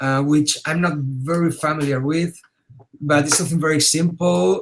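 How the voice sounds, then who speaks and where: A man at a fairly high pitch in a normal speaking voice, at a moderate pace. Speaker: digital artist teaching a webinar. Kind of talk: tutorial. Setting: webinar.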